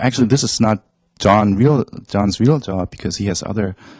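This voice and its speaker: Dark, mellow tone with a German accent, ordinary pitch variation, and a dry, close sound with no echo. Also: man. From Germany. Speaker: esports company staff and translator. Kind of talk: interview. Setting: studio. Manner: hesitant, with fillers.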